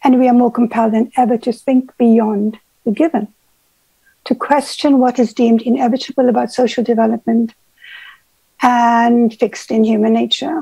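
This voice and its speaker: A woman with a high pitch and a dark, mellow tone speaks at a moderate pace with fairly even intonation and long, frequent pauses, in a dry sound with no echo against a quiet background. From South Africa. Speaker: therapist, speaker. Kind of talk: prepared speech read aloud. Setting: video call from London. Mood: earnest, reflective. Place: home room. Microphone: earbuds.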